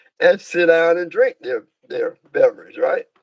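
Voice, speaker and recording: Recorded with a dry, close sound and no echo, a man with a Georgia accent talks at a moderate pace. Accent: Southern US, Georgia. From US South, Georgia (south of Atlanta). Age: 70s. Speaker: minister. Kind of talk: interview, life story. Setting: livestream. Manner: halting, many fillers.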